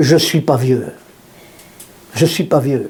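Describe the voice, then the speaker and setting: Audible room echo and noticeable background noise are present. Through them, a man talks. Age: 70s. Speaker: pastor. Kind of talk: sermon. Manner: animated.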